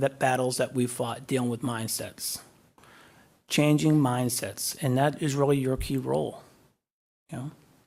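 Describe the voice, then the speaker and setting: At a moderate pace with long, frequent pauses, a man with a Boston accent speaks at a fairly high pitch on a very clean recording with a silent background. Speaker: guest speaker, defense official. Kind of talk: graduation speech. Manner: halting.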